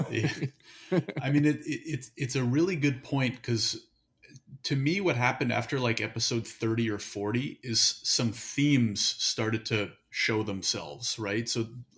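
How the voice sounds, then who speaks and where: A man talks at a fairly slow pace and medium pitch, with ordinary pitch variation. He has an unremarkable speaking voice. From Canada. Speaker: podcast guest, hosts own interview podcast. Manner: conversational, casual.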